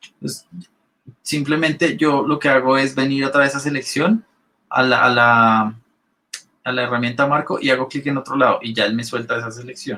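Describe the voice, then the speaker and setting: A man speaks at a medium pitch with ordinary pitch variation. His tone is bright and sharp. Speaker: Photoshop instructor. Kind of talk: live online class tutorial. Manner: fast when excited.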